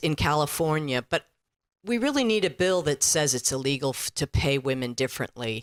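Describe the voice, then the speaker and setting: With a Bay Area accent, a woman talks at a moderate pace with lively intonation, recorded very cleanly against a silent background in a dry, close sound with no echo. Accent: local Bay Area speech. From San Francisco Bay Area. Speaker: audience member. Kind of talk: audience question.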